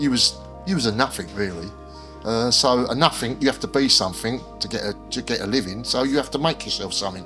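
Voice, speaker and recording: A man with a South London accent talks at a very fast pace with ordinary pitch variation. Music plays in the background. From South East London. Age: 60s. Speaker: former bodyguard, children's author. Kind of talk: interview answer.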